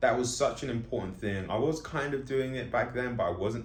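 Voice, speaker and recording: A man with a London accent speaks at a fairly quick pace, with a medium pitch, vocal fry and lively intonation. The room echo is audible. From London, England. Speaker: comic artist and vlogger. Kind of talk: casual monologue vlog. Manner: fast; slightly slurred.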